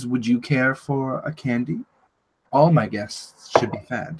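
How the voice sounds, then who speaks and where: A breathy, put-on character voice at a fairly slow pace. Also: man, medium pitch for a man. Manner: sweet, gracious, offering candy.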